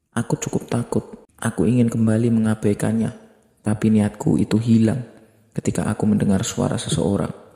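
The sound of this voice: An unforced reading voice is heard here.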